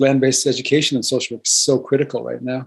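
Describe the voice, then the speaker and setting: A man is talking. His pitch is medium. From US Midwest, North Dakota reservation. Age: 60s. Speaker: social work professor and dean. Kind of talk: webinar discussion.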